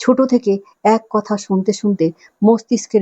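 Unforced reading voice over a quiet background

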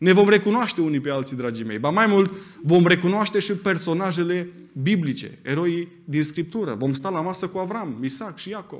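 Background quiet, a man talks at a moderate pace in a high pitch with lively intonation. His loudness swings a lot. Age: 30s. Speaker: preacher. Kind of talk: sermon. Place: church. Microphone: podium.

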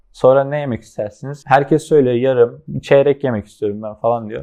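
A man with a plain, everyday voice, medium pitch, fairly even intonation and a fairly quick pace. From Aydın, Turkey. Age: 20s. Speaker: professional mobile esports player. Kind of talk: casual interview.

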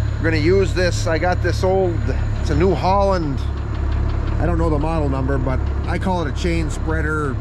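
A man speaks fairly quickly amid noticeable background noise, the sound dry with no echo. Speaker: farmer vlogger. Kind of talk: casual vlog chat. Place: farm machine. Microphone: phone near.

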